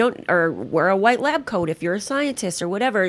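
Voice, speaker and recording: A woman with a Californian accent speaks at a fairly quick pace, her medium pitch rising and falling in a lively way. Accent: General American, California. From Los Angeles. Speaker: casting director. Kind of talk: podcast interview. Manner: animated.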